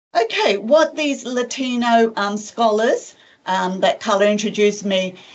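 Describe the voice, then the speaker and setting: With lively intonation, a woman speaks at a moderate pace in an ordinary speaking voice. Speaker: professor of education. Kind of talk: lecture.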